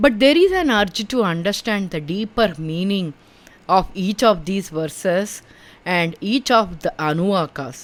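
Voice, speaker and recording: A woman in an Indian accent speaks at a fairly slow pace, her medium-pitched voice carrying lively intonation. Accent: Indian English (Telugu). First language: Telugu. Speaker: spiritual teacher, podcaster. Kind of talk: personal testimony.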